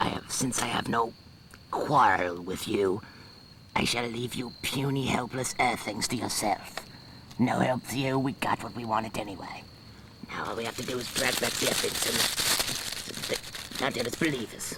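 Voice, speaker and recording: Clear background noise accompanies a man doing a put-on character voice at medium pitch, moving at a moderate pace with long, frequent pauses. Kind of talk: audio drama dialogue.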